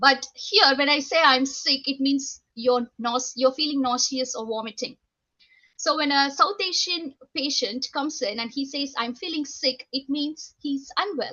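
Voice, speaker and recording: Speaking fairly slowly with an Indian accent, a woman uses a high pitch with ordinary pitch variation. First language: Indian language (mother tongue). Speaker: nurse educator, university lecturer. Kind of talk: panel talk, personal story. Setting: video call. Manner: halting, many fillers.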